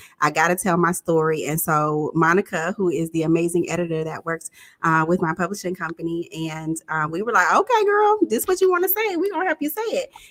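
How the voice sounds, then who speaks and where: The speaker has a Jacksonville accent and talks at a fairly quick pace. There are hardly any pauses. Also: woman. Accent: Jacksonville, Florida. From Jacksonville, Florida. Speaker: relationship coach and talk show host. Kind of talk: live interview. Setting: livestream.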